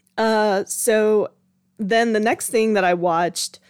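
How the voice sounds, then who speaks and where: Here is a woman with a medium-pitched voice. Her tone is animated. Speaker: podcast host. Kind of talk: casual solo podcast monologue about TV shows. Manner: animated, chatty, laughs often.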